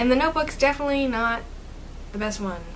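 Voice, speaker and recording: In a room with audible echo and noticeable background noise, a woman talks at a very fast pace in a high pitch. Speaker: booktuber. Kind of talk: casual vlog talk. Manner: chatty, filler-heavy.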